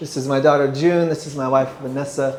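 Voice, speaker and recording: Someone with an English accent speaks at a fairly slow pace with fairly even intonation, amid noticeable background noise and audible room echo. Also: man. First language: English (speaking French). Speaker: guest preacher. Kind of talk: sermon. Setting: church.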